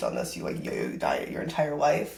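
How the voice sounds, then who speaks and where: A woman with an American accent speaks in a very deep, low pitch at a very fast pace, her tone animated and audible room echo around her. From US Midwest (northern Wisconsin). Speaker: fitness influencer and coach. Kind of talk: podcast interview. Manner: loud, outgoing; casual, animated.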